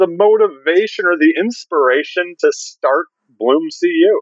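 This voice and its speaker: A man's high-pitched voice with an American accent and lively intonation. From Detroit, Michigan. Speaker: podcast host. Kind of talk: interview.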